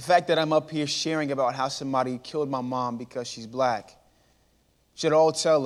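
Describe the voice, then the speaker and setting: On a very clean recording with a silent background, a man with an American accent and a normal speaking voice talks fairly quickly at a medium pitch with ordinary pitch variation. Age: 20s. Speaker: motivational speaker. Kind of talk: inspirational talk. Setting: church stage with audience.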